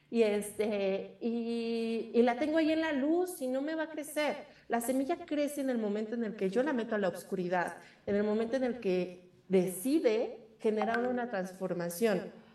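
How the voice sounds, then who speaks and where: With audible room echo, a woman speaks at a moderate pace in a fairly high pitch, her intonation lively. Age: 20s. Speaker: witch and magic practitioner. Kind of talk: interview. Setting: remote call.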